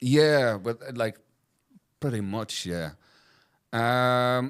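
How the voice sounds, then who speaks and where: Very slow speech from a man with a Northern Irish accent and ordinary pitch variation, on a very clean recording with a silent background. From Belfast, Northern Ireland. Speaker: soul and funk singer. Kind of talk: interview answer.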